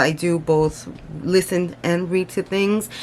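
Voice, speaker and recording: An American accent with fairly even intonation over noticeable background noise. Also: woman. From United States, Mexican family. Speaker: booktuber. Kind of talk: casual book review vlog. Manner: hesitant, many fillers.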